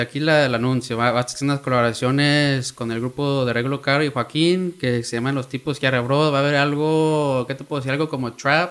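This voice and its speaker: A man's fairly high voice at a fairly quick clip, with fairly even intonation, hardly any pauses, and noticeable background noise. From Oakland, California (Mexican-American). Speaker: music industry creator. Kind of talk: casual chat.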